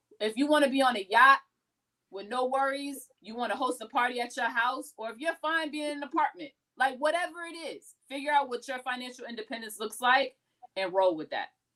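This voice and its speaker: A woman with a high pitch uses a raised, projected voice in a bright, sharp, animated tone. She moves at a fairly quick pace, with big swings in loudness and ordinary pitch variation. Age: 30s. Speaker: podcast host. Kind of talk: casual chat.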